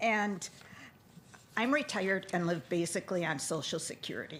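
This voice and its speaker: With an Upper Midwest US accent, a woman talks at a moderate pace in a fairly low voice with lively intonation. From Neenah, Wisconsin. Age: 70s. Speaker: retired resident speaking at public comment. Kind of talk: public comment at council meeting. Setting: city council meeting.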